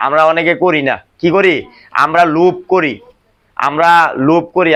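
A plain, everyday voice of a man, fairly high in pitch, with fairly even intonation. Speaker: factory supervisor. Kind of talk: staff meeting talk. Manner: call-and-response questioning.

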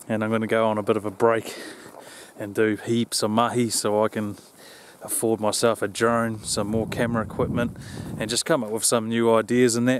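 There is noticeable background noise behind a man talking at a moderate pace. The sound is dry with no echo. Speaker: hunting vlogger. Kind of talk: casual vlog chat. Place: open country. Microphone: phone near.

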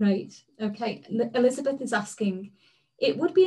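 Against a quiet background, a somewhat breathy woman speaks with very wide pitch swings. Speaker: public engagement officer at a science lab; webinar host. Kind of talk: online public talk hosting. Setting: online webinar. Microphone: video call.

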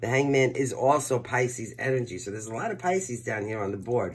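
The man talks at a fairly quick pace with ordinary pitch variation. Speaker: tarot reader. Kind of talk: tarot reading commentary. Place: home room. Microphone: phone near.

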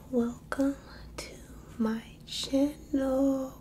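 Over light background noise, a woman is soft-spoken. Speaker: ASMR creator. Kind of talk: ASMR affirmations. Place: home room. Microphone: phone near.

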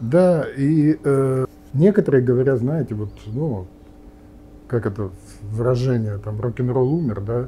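A man talks at a very slow pace in a dark, mellow, somewhat breathy tone with lively intonation, over light background noise. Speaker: nuclear physicist and politician; politician. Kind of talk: interview. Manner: halting, many fillers. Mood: calm, thoughtful, pessimistic. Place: cafe.

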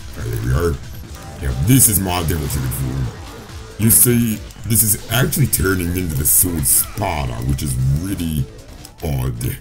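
With music in the background, a man speaks fairly slowly in a very deep, low pitch that moves in very wide swings. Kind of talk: casual gameplay commentary.

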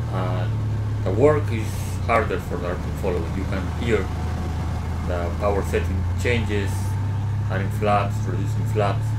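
Loud background noise sits behind speech delivered at a fairly slow pace. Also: man. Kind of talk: commentary.

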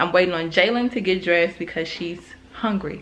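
A woman's fairly low, fairly bright voice at a fairly quick pace, with ordinary pitch variation and audible room echo

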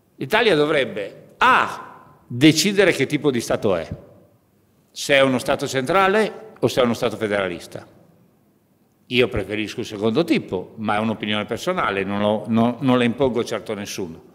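At a moderate pace, a man speaks with lively intonation and long, frequent pauses. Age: 50s. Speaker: trade union leader; speaker. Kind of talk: conference speech. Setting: parliament conference room. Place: hall. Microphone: podium.

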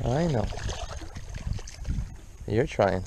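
A man speaks at a very slow pace in a dark, mellow tone, medium in pitch, with lively intonation and vocal fry. Faint background noise sits behind him.

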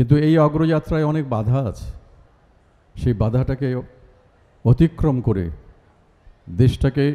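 With ordinary pitch variation, a man talks in a dark, mellow tone. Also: medium pitch for a man. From Bangladesh. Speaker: actor and reciter. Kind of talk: public speech at a university event. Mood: solemn, patriotic. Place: stage.

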